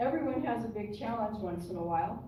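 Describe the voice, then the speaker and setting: Against noticeable background noise and audible room echo, a woman with a fairly high pitch speaks at a fairly slow pace with very wide pitch swings. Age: 60s. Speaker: church member, widowed rancher. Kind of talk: personal testimony in church. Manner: conversational.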